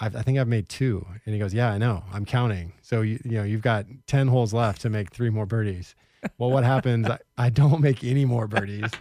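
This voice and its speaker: A man with a West Coast accent speaks fairly quickly at medium pitch, with a dark, mellow tone and fairly even intonation. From Portland, Oregon. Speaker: podcast co-host, former golf professional. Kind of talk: casual chat.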